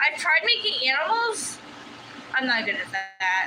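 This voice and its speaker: A woman's raised, projected voice at a high pitch and a moderate pace, over noticeable background noise. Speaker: livestreamer crafting hobbyist. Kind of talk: casual live-stream chat. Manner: halting, with fillers.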